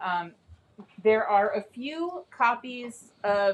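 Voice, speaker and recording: This is a woman speaking. Her pitch is medium. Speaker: author and organizer. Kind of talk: reading event talk. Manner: loud.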